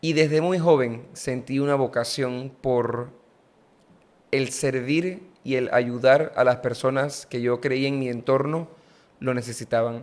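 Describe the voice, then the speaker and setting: At a very slow pace, a man talks with a medium pitch. His intonation is fairly even. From Panama, San Miguelito; Panama. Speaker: politician. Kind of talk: interview conversation. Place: studio. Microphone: studio mic.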